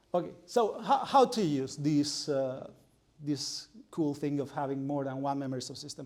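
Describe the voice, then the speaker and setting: In a room with audible echo, a man talks at a moderate pace and a fairly high pitch with ordinary pitch variation. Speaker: researcher lecturer. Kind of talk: lecture. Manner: halting with fillers.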